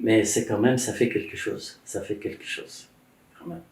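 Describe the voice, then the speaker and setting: A man speaks with an Arabic accent. Audible room echo surrounds his voice. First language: Arabic (speaking French). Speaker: Egyptologist and author. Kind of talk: casual conversation about religious history. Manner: halting, many hesitations.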